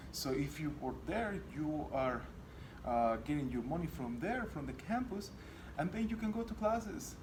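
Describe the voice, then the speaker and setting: In a non-native accent, a man talks at a moderate pace with very wide pitch swings, over noticeable background noise and audible room echo. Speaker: college student. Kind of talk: class presentation. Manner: halting, many fillers.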